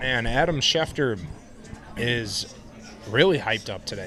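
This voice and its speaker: With a Minnesotan accent and lively intonation, the voice comes through with noticeable background noise and audible room echo. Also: man. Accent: Minnesota. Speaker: live-stream host. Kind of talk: live commentary. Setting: bar. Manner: casual.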